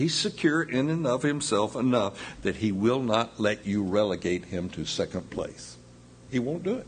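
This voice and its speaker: A man talks in an ordinary speaking voice at a medium pitch. His intonation is lively and his pace moderate. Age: 60s. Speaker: pastor. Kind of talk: sermon. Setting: church.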